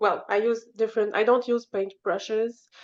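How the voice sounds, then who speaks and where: A woman with a non-native accent and a fairly high pitch speaks at a moderate pace against a quiet background. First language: not English. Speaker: painter. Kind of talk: reading aloud. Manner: halting.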